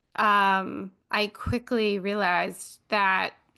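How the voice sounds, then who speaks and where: A woman speaks in a medium pitch with an American accent. Her tone is bright and sharp over a quiet background. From US South, North Carolina. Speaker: language learner, podcast guest. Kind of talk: casual interview conversation.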